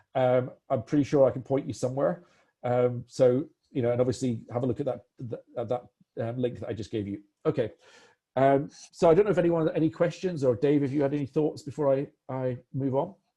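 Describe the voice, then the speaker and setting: His somewhat breathy voice has a dark, mellow tone and ordinary pitch variation, coming from a man. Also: medium pitch for a man, fairly quick pace. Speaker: product demo presenter. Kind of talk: live software demo webinar. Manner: fast; hesitant, many fillers and restarts.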